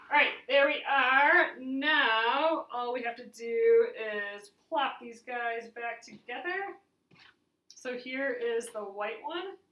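A woman speaks at a slow pace in a fairly high pitch with ordinary pitch variation. Room echo is audible.

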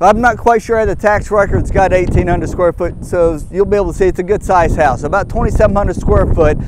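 A man's voice, dry with no echo, has ordinary pitch variation and noticeable background noise behind it. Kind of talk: property tour presentation. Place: open country. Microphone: lapel.

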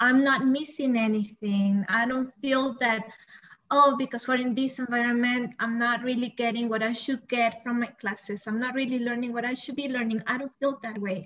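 With a Spanish accent, a woman talks at a moderate pace in a high pitch with fairly even intonation. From El Salvador. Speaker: bilingual coordinator and teacher. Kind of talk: panel discussion.

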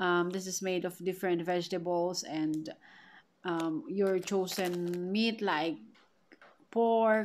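A woman with a Filipino accent talks at a very slow pace with long, frequent pauses and ordinary pitch variation over light background noise. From Philippines. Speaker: vlogger. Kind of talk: product haul vlog. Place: home room. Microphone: phone near.

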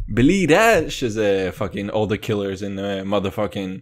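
Speaking with a Russian accent, a man sounds animated at a fairly slow pace. The recording is very clean, with a silent background. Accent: Russian accent in Hebrew. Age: 20s. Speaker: comedy podcaster. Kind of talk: comedic monologue.

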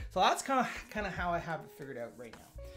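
A man's voice at a moderate pace over clear background music. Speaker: developer streamer. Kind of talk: live coding commentary. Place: home room.

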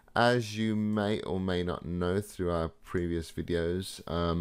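Very slowly, a man talks in a very deep, low pitch. His pitch variation is ordinary. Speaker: trading educator. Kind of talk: tutorial.

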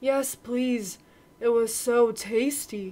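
A put-on character voice that sounds female. The pitch sits fairly high for a woman. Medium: read story. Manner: suspicious, then eager.

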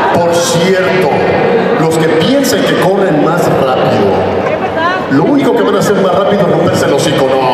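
A man at a moderate pace, with audible room echo and loud background noise. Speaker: voice actor guest at a fan convention. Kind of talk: stage talk to fans with character voice impressions. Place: stage. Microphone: camera far.

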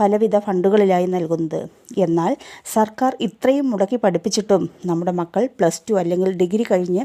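On a very clean recording with a silent background, a woman speaks in a dark, mellow tone at very even loudness. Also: medium pitch for a woman, ordinary pitch variation, dry, close sound with no echo. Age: 40s. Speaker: direct selling distributor. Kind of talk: sales pitch.

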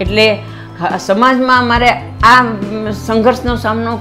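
A woman's medium-pitched voice over clear background music. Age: 60s. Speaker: senior badminton player. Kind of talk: interview testimony. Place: home room.

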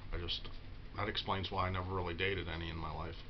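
A man at a fairly quick pace with monotone, flat intonation and noticeable background noise. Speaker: vlogger. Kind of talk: casual confessional vlog talk. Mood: low, self-deprecating. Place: home room. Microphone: webcam.

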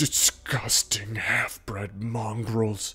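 With monotone, flat intonation, a man uses a put-on character voice at a medium pitch. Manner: snappish, contemptuous.

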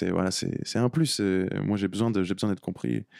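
A man's dark, mellow tone, dry with no echo, against a quiet background. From France. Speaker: reggae singer; guest. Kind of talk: radio interview. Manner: halting, repeats words. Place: studio. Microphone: studio mic.

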